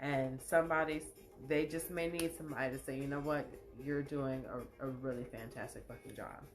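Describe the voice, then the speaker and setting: Over music and audible room echo, a woman with a very deep, low voice speaks in an animated tone at a fairly quick pace. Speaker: live show host and poet. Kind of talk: casual livestream monologue.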